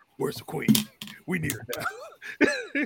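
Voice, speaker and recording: A gruff, put-on character voice from a man at a fairly slow pace. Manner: scary, gruff.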